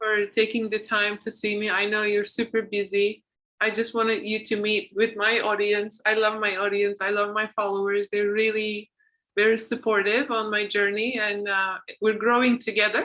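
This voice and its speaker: A woman's fairly high voice has a bright, sharp tone and monotone, flat intonation. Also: moderate pace. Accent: non-native. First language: not English. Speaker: podcast host and author. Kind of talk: casual interview chat.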